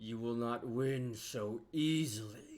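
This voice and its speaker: A man puts on a booming character voice at a medium pitch. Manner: menacing.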